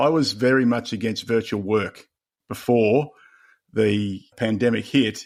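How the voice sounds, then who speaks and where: Someone with an Australian accent speaks at a moderate pace with ordinary pitch variation, on a very clean recording with a silent background. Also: man. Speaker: leadership coach and author. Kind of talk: podcast interview.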